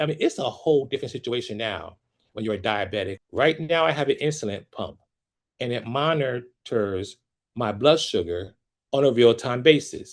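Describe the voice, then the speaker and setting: A man with a plain, everyday voice and an American accent talks at a moderate pace in a medium pitch against a quiet background. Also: lively intonation. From US Northeast, Trenton, New Jersey. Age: 60s. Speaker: opera singer and vocal coach. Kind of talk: testimony.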